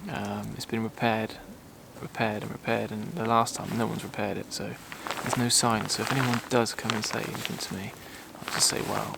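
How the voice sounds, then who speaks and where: A man whispers at a very fast pace. Noticeable background noise runs underneath. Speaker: landscape photographer vlogger. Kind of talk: casual vlog talk to camera. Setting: outdoors in woods. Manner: whispering; hesitant, many fillers.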